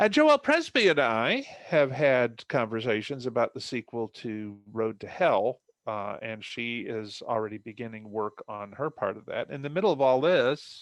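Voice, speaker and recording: A man's plain, everyday voice at medium pitch, with big swings in loudness, ordinary pitch variation and hardly any pauses, in dry, close sound with no echo over a quiet background. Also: moderate pace. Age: 60s. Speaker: novelist. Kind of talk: casual chat.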